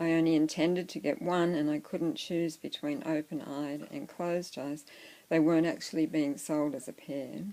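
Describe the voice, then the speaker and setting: With an Australian accent, a soft-spoken woman talks at a moderate pace in a fairly low pitch with ordinary pitch variation, in a very clean recording with a silent background. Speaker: doll collector vlogger. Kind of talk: casual show-and-tell vlog.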